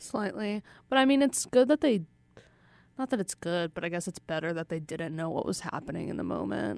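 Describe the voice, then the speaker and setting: A woman's fairly low voice with very wide pitch swings at a fairly quick pace, on a very clean recording with a silent background. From Russia. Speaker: podcast co-host. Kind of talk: casual chat.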